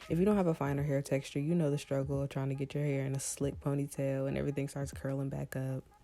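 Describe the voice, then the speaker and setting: A woman's very deep, low voice at a very fast pace, fairly even in intonation with hardly any pauses, over noticeable background noise. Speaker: beauty vlogger. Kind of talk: tutorial. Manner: casual.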